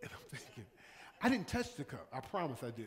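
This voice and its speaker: A man's voice with very wide pitch swings. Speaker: pastor. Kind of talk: sermon. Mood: warm, anecdotal, emphatic. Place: church. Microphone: podium.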